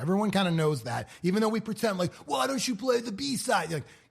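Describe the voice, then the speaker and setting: A man talks in a somewhat breathy voice, his pitch swinging very widely. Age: 40s. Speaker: radio host and podcast host. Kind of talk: casual chat.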